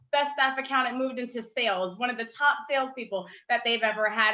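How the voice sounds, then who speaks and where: Raised and projected, a woman's high-pitched voice carries a bright, sharp tone at a fairly quick pace with ordinary pitch variation. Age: 20s. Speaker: community leader and former city council candidate. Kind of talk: panel discussion. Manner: casual, with many fillers.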